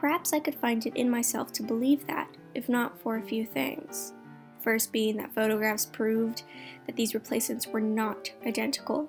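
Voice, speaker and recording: Music plays behind a woman speaking at a moderate pace. Her voice is fairly high, with lively intonation. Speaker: ASMR artist and creepypasta writer-reader. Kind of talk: ASMR creepypasta reading while painting. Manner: soft-spoken.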